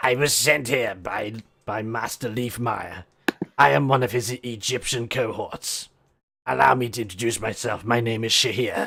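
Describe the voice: A man puts on a raspy character voice at a medium pitch, speaking at a moderate pace with ordinary pitch variation.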